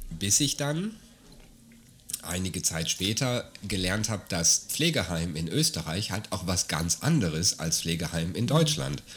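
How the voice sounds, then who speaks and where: A man with a very deep, low, somewhat breathy voice speaks at a fairly slow pace with lively intonation. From Germany. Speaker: podcast host. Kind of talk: casual chat.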